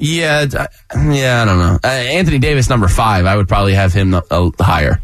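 A man talks at a fairly quick pace with a fairly low pitch and very wide pitch swings. His loudness stays very even over noticeable background noise. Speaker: sports radio host. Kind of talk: casual chat. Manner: laughing often.

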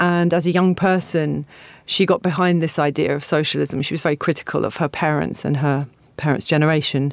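A woman speaks with a southern English accent and ordinary pitch variation. The recording is very clean, with a silent background. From England, Stevenage. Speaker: literary translator. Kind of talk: interview.

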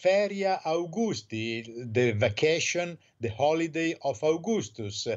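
A man's fairly high voice with an Italian accent, at a very slow pace with very wide pitch swings. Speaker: newspaper correspondent. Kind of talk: radio interview. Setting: phone call.

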